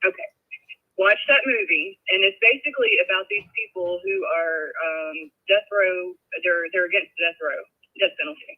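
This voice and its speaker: In a Southern US accent, a woman speaks at a moderate pace. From US South. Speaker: caller. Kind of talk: call-in discussion. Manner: halting.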